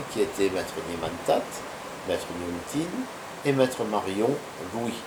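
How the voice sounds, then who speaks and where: Lively intonation marks this man's medium-pitched voice as he speaks at a fairly slow pace. The recording has audible room echo and noticeable background noise. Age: 60s. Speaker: martial arts master. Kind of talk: interview. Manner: hesitant with fillers.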